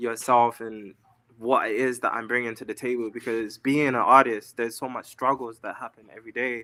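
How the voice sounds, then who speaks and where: A man with an English accent talks at a medium pitch and a fairly quick pace, his tone bright and sharp. His intonation is monotone and flat, while his loudness swings widely. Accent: pronounced English. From London, England. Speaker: singer-songwriter and model. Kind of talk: interview. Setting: live stream.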